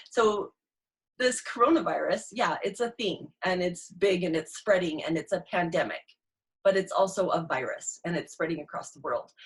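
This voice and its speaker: Somewhat breathy and at a medium pitch, a woman talks with lively intonation and big swings in loudness. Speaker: inspirational speaker and mentor. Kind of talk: live motivational talk. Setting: live stream on Zoom and Facebook. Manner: fast.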